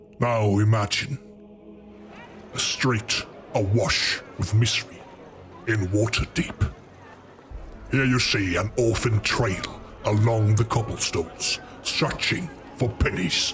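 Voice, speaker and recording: Someone puts on a character voice at a fairly slow pace, leaving long, frequent pauses over clear background noise. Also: man, fairly low pitch for a man. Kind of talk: horror narration. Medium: read story. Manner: slow, ominous, measured.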